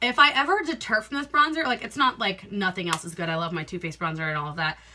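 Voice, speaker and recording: Over noticeable background noise, the animated tone moves at a very fast pace with very wide pitch swings. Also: woman, medium pitch for a woman. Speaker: beauty vlogger. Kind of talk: casual talk to camera.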